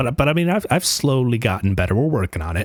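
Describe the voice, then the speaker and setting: A man speaks quietly. The sound is dry and close with no echo, in a very clean recording with a silent background. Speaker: gaming youtuber. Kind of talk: personal vlog monologue. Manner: quiet, stuttering; halting.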